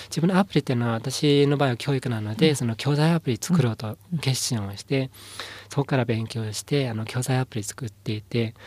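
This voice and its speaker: The man's voice is somewhat breathy and medium in pitch, with ordinary pitch variation and a fairly quick pace. The sound is dry and close, with no echo. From Inner Mongolia, China. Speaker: company founder. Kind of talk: interview. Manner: halting, many fillers.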